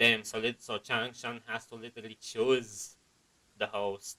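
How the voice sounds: In a bright, sharp tone, a man speaks fairly slowly at a fairly low pitch with little pitch movement.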